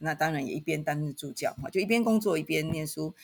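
Somewhat breathy speech at a fairly quick pace, with ordinary pitch variation. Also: woman. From Taiwan, Taitung. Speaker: university professor. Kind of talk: podcast interview.

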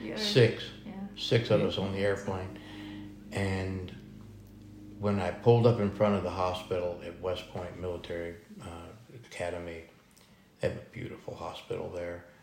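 A man with an American accent speaks in a very deep, low pitch, somewhat breathy, with fairly even intonation, big swings in loudness, long and frequent pauses, and audible room echo. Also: moderate pace. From Texas. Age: 60s. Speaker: food truck owner, military veteran. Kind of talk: interview.

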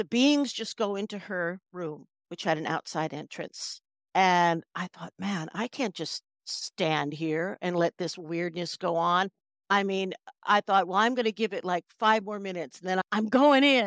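A woman with an ordinary speaking voice talks at a fairly slow pace with a medium pitch and ordinary pitch variation, in a very clean recording with a silent background and a dry, close sound with no echo. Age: 60s. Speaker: hypnotherapist and author. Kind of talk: podcast interview.

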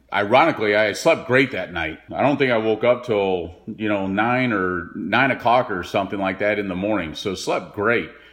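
A man with an American accent has a normal speaking voice at a fairly low pitch, with ordinary pitch variation. He keeps a moderate pace with hardly any pauses. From Texas (Dallas). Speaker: retired professional golfer. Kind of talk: interview recollection.

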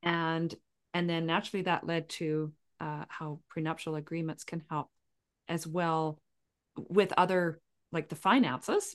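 Against a quiet background, a woman with a Canadian accent speaks at a fairly slow pace in a fairly low pitch, using an unremarkable speaking voice with fairly even intonation. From Canada, southern Saskatchewan. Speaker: podcast host, empowerment coach. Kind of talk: interview.

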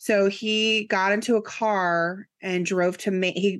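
A woman with a plain, everyday voice and fairly low pitch speaks with fairly even intonation against a quiet background. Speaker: podcast co-host. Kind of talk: casual chat. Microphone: new microphone and headphones.

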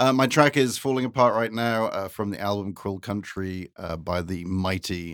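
At a fairly quick pace, a man with a very deep, low pitch speaks using ordinary pitch variation. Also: very clean recording, silent background. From UK, living in America. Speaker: entertainment journalist and author. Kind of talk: casual chat.

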